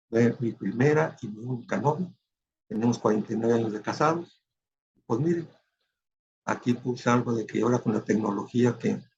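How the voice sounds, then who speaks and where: The man's moderate-paced delivery is somewhat breathy and shows ordinary pitch variation. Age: 70s. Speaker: retired physician. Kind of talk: lecture. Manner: halting, many fillers.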